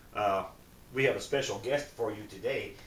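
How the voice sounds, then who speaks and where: A man's medium-pitched voice carries audible room echo. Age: 60s. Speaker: vlogger promoting a supplement. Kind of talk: casual home video sales pitch. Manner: casual, chatty.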